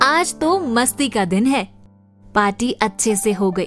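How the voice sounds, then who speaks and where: There is music in the background as a woman speaks. Her pitch is fairly high, with ordinary pitch variation. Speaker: radio jockey, story narrator. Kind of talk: radio story narration. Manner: lively, expressive storytelling.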